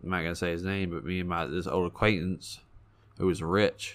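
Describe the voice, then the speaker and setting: In a Kentucky accent, a man with a very deep, low voice talks at a fairly quick pace and fairly even intonation over a very clean, silent background. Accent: Kentucky Southern US. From Kentucky, Owensboro. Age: 20s. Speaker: recovering addict. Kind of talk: testimony. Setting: studio.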